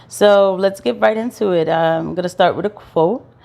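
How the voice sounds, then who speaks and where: With an American accent, a woman talks at a moderate pace in an ordinary speaking voice, her pitch varying in an ordinary way, on a very clean recording with a silent background. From US Northeast (Brooklyn, Florida, Philadelphia). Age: 30s. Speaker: vlogger, registered nurse. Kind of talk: casual vlog monologue.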